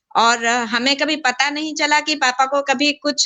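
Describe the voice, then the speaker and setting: High-pitched female speech, its pitch varying in an ordinary way. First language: not Hindi, Hindi weaker (speaking Hindi). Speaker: professor's daughter, speaking about her father. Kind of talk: personal reminiscence on a video program. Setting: video call on mobile phone. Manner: halting, many filler sounds.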